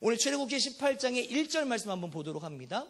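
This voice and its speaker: In an animated tone, a man speaks with lively intonation. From Jeolla, South Korea. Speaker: preacher. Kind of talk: sermon. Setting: church.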